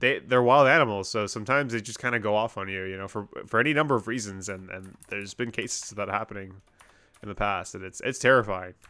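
A man at a very fast pace, fairly low in pitch with ordinary variation, bright and sharp in tone, big swings in loudness, quiet background. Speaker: game streamer. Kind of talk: casual gameplay commentary.

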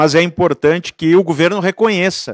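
In a dry sound with no echo and a quiet background, a man with a high pitch speaks at a fairly slow pace. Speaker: union president; panelist. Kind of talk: union rally speech. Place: meeting room. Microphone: handheld.

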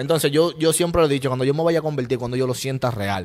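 Speech comes very fast from a man. Pitch movement is ordinary. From Dominican Republic, Santo Domingo east. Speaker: rapper; interviewee. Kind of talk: casual interview. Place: studio. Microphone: handheld.

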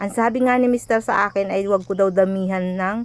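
A woman with fairly even intonation, on a very clean recording with a silent background. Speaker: vlogger. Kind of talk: voice-over narration. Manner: halting, stumbling over words.

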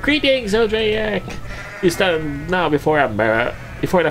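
A man puts on a character voice at a very slow pace against clear background noise. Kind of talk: alternating distinct voices. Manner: grandiose, exaggerated.

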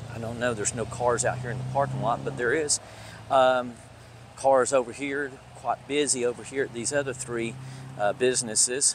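A man is speaking. Background noise is noticeable. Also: dry sound with no echo. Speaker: urban explorer vlogger. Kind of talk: casual vlog chat. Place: street. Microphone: phone near.

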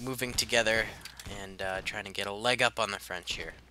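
Over noticeable background noise, a man talks at a moderate pace and medium pitch with fairly even intonation. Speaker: gaming YouTuber. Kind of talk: gameplay commentary. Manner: casual with frequent fillers.

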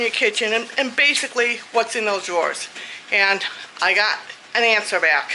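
With light background noise, a woman speaks in a raised, projected voice. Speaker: home vlogger. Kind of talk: casual vlog chat. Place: home room. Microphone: phone near.

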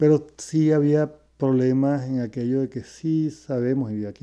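A man with a dark, mellow tone and fairly even intonation speaks over a quiet background. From Venezuela (Caracas). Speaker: retired educator, host's father; interview guest, teacher. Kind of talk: casual interview; interview answer. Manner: halting, repeats words. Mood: calm, reflective. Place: home room. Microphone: earbuds.

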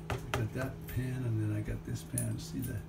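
Loud background noise surrounds a man who speaks at a fairly slow pace. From Liverpool. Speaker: home cook filming his dinner. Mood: relaxed, proud of dinner. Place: kitchen. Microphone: phone near.

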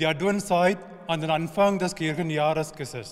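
A man with an Indian accent at a very slow pace, ordinary pitch variation, quiet background. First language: an Indian language (speaking German). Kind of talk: short spiritual address. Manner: halting in places. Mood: calm, hopeful. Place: church.

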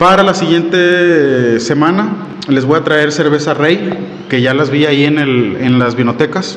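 A man with a northern Mexican accent speaks at a fairly high pitch. His pitch varies in an ordinary way over light background noise. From Monterrey, northern Mexico; Mexico. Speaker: beer reviewer. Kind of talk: product review. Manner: casual, hesitant with fillers. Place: home room. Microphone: studio mic.

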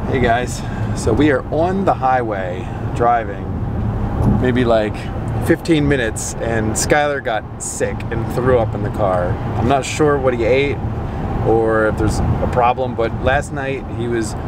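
A man's fairly slow speech with long, frequent pauses and ordinary pitch variation, dry sound with no echo, loud background noise. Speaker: family vlogger. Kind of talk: casual vlog chat. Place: car. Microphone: phone near.

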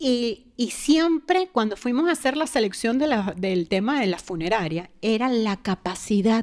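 Over a quiet background, a woman talks at a fairly slow pace and a fairly high pitch. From Venezuela. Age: 40s. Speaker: guest sharing near-death experience; guest. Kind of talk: personal testimony; interview answer. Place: studio. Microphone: studio mic.

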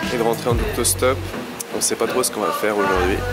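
Music behind a male speaker. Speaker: travel vlogger narrator. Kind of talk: travel vlog narration.

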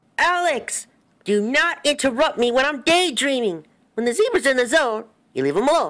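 A man puts on a character voice at an extremely high pitch. He speaks at a moderate pace in a very clean recording with a silent background. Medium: fan dub. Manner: playful, jokey, fast-talking.

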